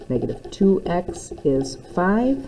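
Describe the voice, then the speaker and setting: Noticeable background noise fills the clip. Through it comes a woman's voice. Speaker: math teacher. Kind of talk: recorded lesson. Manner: fast.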